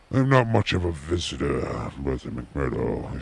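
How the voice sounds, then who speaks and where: Putting on a character voice, a man talks at a moderate pace in a very deep, low pitch with lively intonation. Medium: read story. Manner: blunt, commanding.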